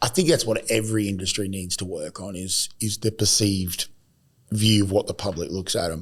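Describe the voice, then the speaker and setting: A man's fairly low, somewhat breathy voice at a fairly quick pace. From Australia, Adelaide. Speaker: podcast host and recruiter. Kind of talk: casual chat. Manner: animated.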